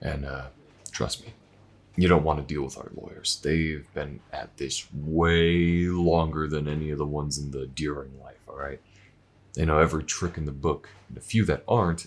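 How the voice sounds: A put-on character voice with a slightly husky edge moves at a moderate pace with fairly even intonation. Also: man, extremely low pitch for a man.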